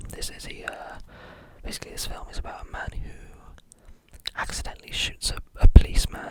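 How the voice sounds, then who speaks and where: Whispering at a fairly quick pace, the speaker leaves long, frequent pauses over noticeable background noise. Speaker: ASMR film reviewer. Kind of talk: ASMR film review talk. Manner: whispered; relaxed, calm.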